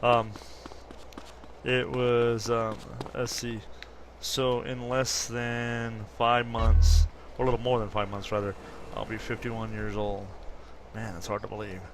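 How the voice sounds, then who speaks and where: Over noticeable background noise and audible room echo, a man speaks at a fairly slow pace with fairly even intonation and long, frequent pauses. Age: 50s. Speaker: gaming commentator. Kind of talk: gameplay commentary. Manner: casual, hesitant with fillers.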